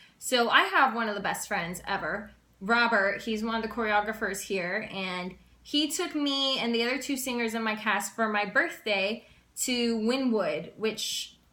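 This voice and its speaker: In a room with audible echo, a woman with a fairly high pitch speaks in an animated tone at a fairly slow pace with ordinary pitch variation. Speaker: vlogger and cruise ship singer. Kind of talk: casual vlog. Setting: indoors, in her room.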